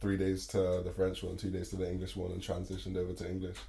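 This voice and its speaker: Audible room echo surrounds a man speaking at a very fast pace in a very deep, low voice. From England, Bristol. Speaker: rapper. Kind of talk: interview.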